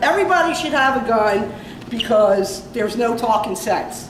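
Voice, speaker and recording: Amid noticeable background noise and audible room echo, a woman with a Philadelphia accent speaks at a moderate pace in a fairly high pitch with an animated tone. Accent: Philly accent, nasal. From Philadelphia area, Upper Darby. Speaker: comedian. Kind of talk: stand-up. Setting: stage with audience. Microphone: no microphone.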